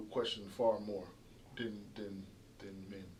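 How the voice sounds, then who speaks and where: Here a man talks in a South Carolina Lowcountry accent. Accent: Gullah Geechee, South Carolina Lowcountry. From Charleston, South Carolina. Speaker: dentist. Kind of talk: interview answer.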